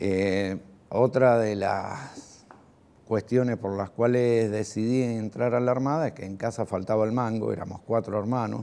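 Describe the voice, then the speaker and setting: Using a fairly low pitch with ordinary pitch variation, a man speaks at a fairly slow pace in a Rioplatense accent. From Argentina, Lanús (Greater Buenos Aires); Buenos Aires, Argentina. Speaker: war veteran. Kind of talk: testimony. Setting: recorded interview. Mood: reflective, calm, some animation. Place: home room.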